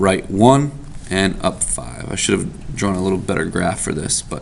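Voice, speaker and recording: At a fairly slow pace, a man talks in a very deep, low pitch with ordinary pitch variation, accompanied by noticeable background noise and audible room echo. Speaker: math teacher. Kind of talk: tutorial.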